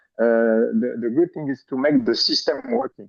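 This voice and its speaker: A man with a French accent. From France. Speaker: panelist, apple genetics researcher. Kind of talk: panel discussion. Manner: halting, many repetitions and fillers.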